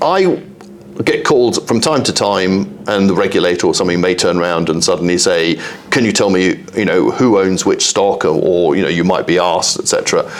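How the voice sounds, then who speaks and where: A man talks at a fairly quick pace, his loudness very even. Noticeable background noise sits behind him. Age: 60s. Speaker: exchange chief executive. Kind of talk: interview.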